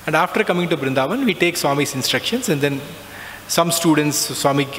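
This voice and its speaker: Background noise is noticeable. Over it, a man's pitch varies in an ordinary way. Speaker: alumnus speaker sharing spiritual experiences. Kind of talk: testimony.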